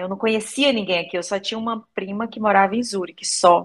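A woman talks at a moderate pace in an ordinary speaking voice with ordinary pitch variation. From Brazil, Maranhão. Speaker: language student giving testimonial. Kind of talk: testimony.

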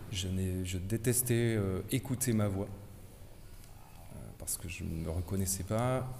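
A man speaks very slowly in a fairly low, dark and mellow voice, somewhat breathy, with ordinary pitch variation. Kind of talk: group discussion.

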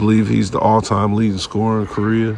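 A man delivers his words with monotone, flat intonation against noticeable background noise. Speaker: sports podcast host. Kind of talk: casual monologue. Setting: sports arena.

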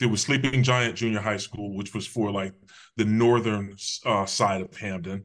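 A man with a normal speaking voice talks at a moderate pace, his fairly low pitch following fairly even intonation. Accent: American. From Connecticut (Hamden, near New Haven). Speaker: public safety official, former police officer. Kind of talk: interview, personal life story.

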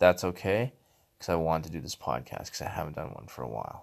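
His speech carries vocal fry. The man goes along fairly briskly. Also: very clean recording, silent background. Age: 30s. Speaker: podcast host, powerlifter. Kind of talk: casual monologue.

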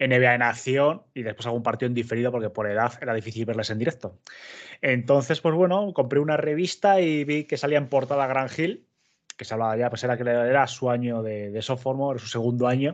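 Against a quiet background, a man with a normal speaking voice talks at a fairly quick pace and a medium pitch, with ordinary pitch variation. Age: 30s. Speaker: basketball content creator. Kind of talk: casual chat.

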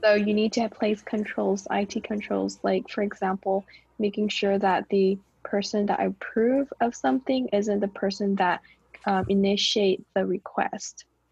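A woman's somewhat breathy voice with an American accent, medium pitch, and ordinary pitch variation, at a fairly slow pace and very even loudness, dry and close with no echo. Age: 20s. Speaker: podcast co-host. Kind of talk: casual chat.

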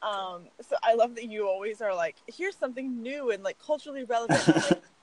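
Very fast speech with lively intonation plays over noticeable background noise. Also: woman, fairly high pitch for a woman. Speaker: podcast co-host. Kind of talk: casual chat. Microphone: audio cutting out.

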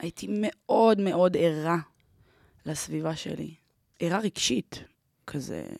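Recorded very cleanly with a silent background and a dry, close sound without echo, a woman speaks at a fairly low pitch and a very slow pace, her intonation lively and her pauses long and frequent. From Israel, Ramat Gan. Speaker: event producer and emotional therapist. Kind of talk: personal interview storytelling.

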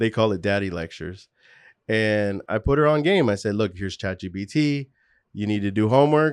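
A plain, everyday voice from a man, fairly low in pitch, with lively intonation over a quiet background. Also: moderate pace. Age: 40s. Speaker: entrepreneur and studio owner. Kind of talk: casual interview.

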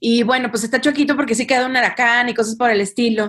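A woman with a fairly high voice talks at a fairly quick pace in an unremarkable speaking voice, with a quiet background. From Mexico, Monterrey. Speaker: social entrepreneur. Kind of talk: interview.

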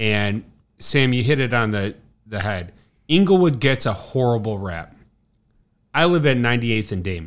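Lively intonation in a Chicago accent, with long, frequent pauses, in a very clean recording over a silent background. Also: man, medium pitch for a man, moderate pace. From Chicago South Side. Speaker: brewery sales rep. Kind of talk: casual chat. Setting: bar.

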